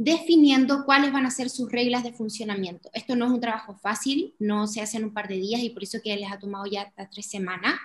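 This woman speaks at a fairly quick pace in a fairly high, somewhat breathy voice. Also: ordinary pitch variation, hardly any pauses. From Chile, Iquique (Tarapacá region). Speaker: podcast co-host. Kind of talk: casual explanatory chat.

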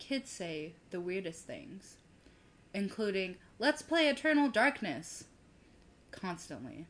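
At a fairly slow pace, a woman with an American accent talks in very wide pitch swings. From US South. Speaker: podcast co-host. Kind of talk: casual chat.

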